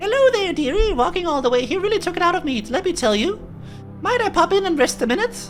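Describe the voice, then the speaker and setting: Using a put-on character voice, a woman talks at a very fast pace in a squeaky, extremely high pitch while clear music plays in the background. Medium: game stream. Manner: folksy, rambling.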